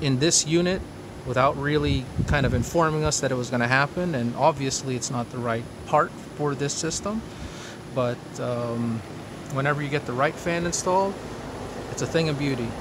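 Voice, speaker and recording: Over noticeable background noise, a man with a fairly high voice talks at a moderate pace, with ordinary pitch variation and long, frequent pauses. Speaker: homeowner video blogger. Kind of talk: casual video walkthrough.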